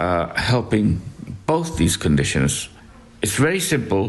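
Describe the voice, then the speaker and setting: A man's fairly low voice carries vocal fry and very wide pitch swings. He talks at a fairly slow pace amid audible room echo. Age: 60s. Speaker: hospice patient. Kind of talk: interview. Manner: halting.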